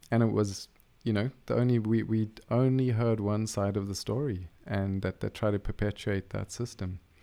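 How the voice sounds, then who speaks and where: Fairly low male voice, dark and mellow, with fairly even intonation at a moderate pace on a very clean recording with a silent background. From South Africa, near Cape Town. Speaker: medical doctor. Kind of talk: casual interview. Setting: studio.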